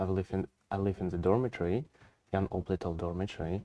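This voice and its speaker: In a Russian accent, a man speaks at a moderate pace with a very deep, low pitch and a dark, mellow tone. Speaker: international student. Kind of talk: webinar panel discussion.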